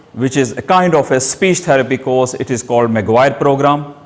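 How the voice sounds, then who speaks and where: Noticeable background noise fills the recording. Over it, a man talks at a fairly high pitch. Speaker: person who stammers, self-help group leader. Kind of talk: short speech. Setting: hall with audience.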